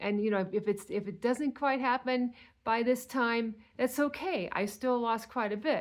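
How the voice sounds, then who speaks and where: The speaker goes at a fairly slow pace with ordinary pitch variation, captured in a very clean recording with a silent background. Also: woman. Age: 60s. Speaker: weight loss vlogger. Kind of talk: casual monologue.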